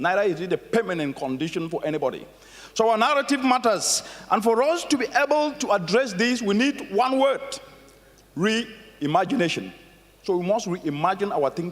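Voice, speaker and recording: A man with an African accent speaks at a high pitch with very wide pitch swings, over noticeable background noise. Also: moderate pace. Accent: African accent, proud of it. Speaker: conference keynote speaker. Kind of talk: keynote speech. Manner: animated.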